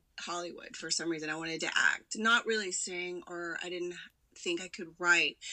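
A woman with a normal speaking voice talks at a medium pitch for a woman, with ordinary pitch variation. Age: 20s. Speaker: actress and entrepreneur. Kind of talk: casual chat.

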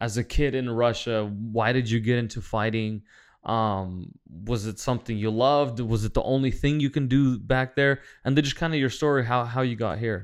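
In a normal speaking voice, a man talks at a moderate pace and medium pitch with ordinary pitch variation. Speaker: podcast host. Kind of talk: casual interview. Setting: at home.

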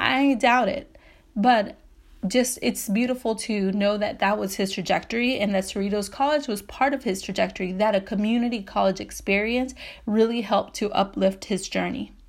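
A woman's medium-pitched voice with vocal fry, ordinary pitch variation, and an American accent. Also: moderate pace. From Southeast Los Angeles, California. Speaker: podcast host. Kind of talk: solo podcast monologue. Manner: casual, conversational with fillers.

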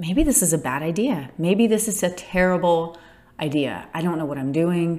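A woman with a fairly low voice talks at a moderate pace, her pitch varying in an ordinary way. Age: 30s. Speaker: podcaster, small business founder. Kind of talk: solo casual monologue. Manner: halting, many self-restarts.

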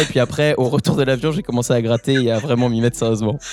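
Over music in the background, a man talks at a very fast pace. His pitch is medium and his intonation fairly even. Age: 20s. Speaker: rapper. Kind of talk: casual chat.

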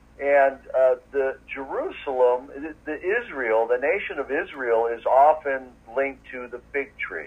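A man's fairly high voice at a fairly slow pace, with ordinary pitch variation, big swings in loudness and noticeable background noise. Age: 50s. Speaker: podcast host and guest. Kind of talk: casual interview chat.

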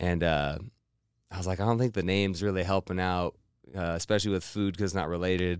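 Very fast pace from a man with a very deep, low pitch and fairly even intonation, on a very clean recording with a silent background. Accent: American. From Montana, Missoula. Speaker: food blogger. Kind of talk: casual chat. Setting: studio.

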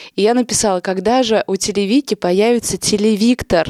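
A woman at a moderate pace, the sound dry and close with no echo. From Russia, Nizhny Novgorod. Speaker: local media editor and event organizer. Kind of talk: casual chat.

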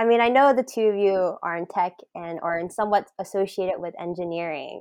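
An ordinary speaking voice moves at a moderate pace. The background is quiet. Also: woman. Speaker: podcast host. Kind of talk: casual interview chat.

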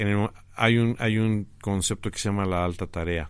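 Moderate pace from a man with a fairly low, flat, monotone voice, very clean recording, silent background. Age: 50s. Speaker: graphic designer and teacher. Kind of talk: interview.

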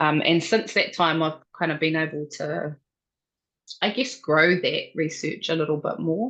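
Speaking with a New Zealand accent, a woman has a fairly low pitch with ordinary pitch variation. The background is quiet. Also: fairly slow pace. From New Zealand, central North Island. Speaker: researcher. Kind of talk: interview.

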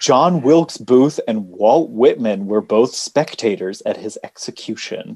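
A man with an American accent and an ordinary speaking voice talks fairly slowly at a medium pitch. His intonation is lively, and he hardly pauses at all. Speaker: podcast co-host. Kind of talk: casual chat.

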